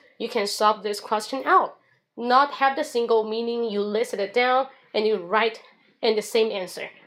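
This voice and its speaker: Speaking at a moderate pace, a woman with a Chinese accent has a fairly high pitch. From China. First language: Mandarin Chinese. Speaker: English teacher and livestreamer. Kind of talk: livestream monologue. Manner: casual.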